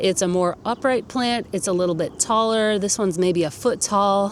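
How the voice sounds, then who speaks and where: A woman speaks at a moderate pace with an enthusiastic tone and ordinary pitch variation. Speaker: gardening youtuber. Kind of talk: garden tour. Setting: outdoors. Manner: rising question-like intonation; casual, enthusiastic.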